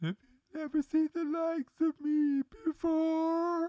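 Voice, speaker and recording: A put-on character voice sounds squeaky and high. It moves at a fairly slow pace. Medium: audio drama. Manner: slow, solemn.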